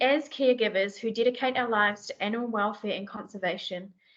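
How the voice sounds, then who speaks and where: With a New Zealand accent, a woman speaks at a fairly high pitch with fairly even intonation. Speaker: sanctuary bear team manager. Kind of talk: presentation in a meeting.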